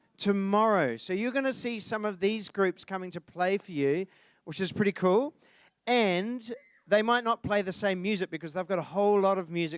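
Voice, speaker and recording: Spoken at a fairly quick pace with a New Zealand accent, the voice has lively intonation and big swings in loudness, recorded dry and close with no echo. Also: man. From New Zealand, Dunedin. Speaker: concert presenter. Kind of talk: event presenting to live audience. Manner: casual, many fillers.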